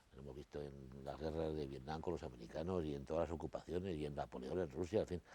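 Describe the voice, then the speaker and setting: Speaking at a fairly quick pace, a man with a very deep, low pitch and a dark, mellow tone uses ordinary pitch variation and some vocal fry. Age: 60s. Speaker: interview guest. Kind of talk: TV interview. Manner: halting, with many repetitions.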